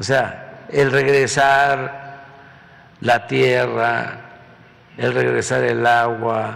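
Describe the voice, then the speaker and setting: A man talks at a very slow pace. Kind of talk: press conference statement. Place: hall. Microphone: podium.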